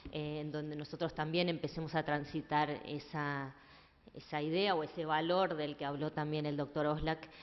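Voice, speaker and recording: The intonation is monotone and flat. A woman speaks with a very deep, low pitch. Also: moderate pace. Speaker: event moderator. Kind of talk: panel moderation. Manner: hesitant, many fillers.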